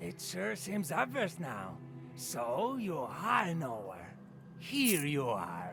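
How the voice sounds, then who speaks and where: Someone uses a put-on character voice at a very slow pace over clear background noise. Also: man, fairly high pitch for a man. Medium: video game. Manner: talkative, casual.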